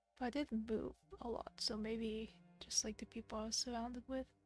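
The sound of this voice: A woman's fairly high voice in a flat monotone, dry and close with no echo, over music in the background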